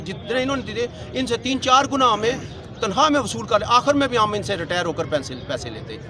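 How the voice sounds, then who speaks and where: With crowd noise in the background, a man with a high pitch and a raised, projected voice speaks at a moderate pace with ordinary pitch variation. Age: 60s. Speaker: retired telecom employee, protester. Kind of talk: street interview at protest. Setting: outdoor protest in front of press club.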